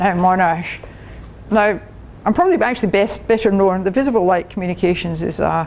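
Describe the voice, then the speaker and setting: Over noticeable background noise, a woman with a strong Scottish accent talks fairly quickly at a medium pitch with ordinary pitch variation. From Scotland. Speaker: engineering professor. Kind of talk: lecture. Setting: club meeting with audience.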